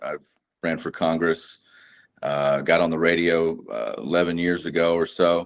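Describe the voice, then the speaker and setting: A man speaks in a very deep, low voice with a Texan accent and a flat, monotone delivery. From North Texas. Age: 40s. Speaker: combat veteran and precious metals dealer. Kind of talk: casual interview chat. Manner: halting, many fillers.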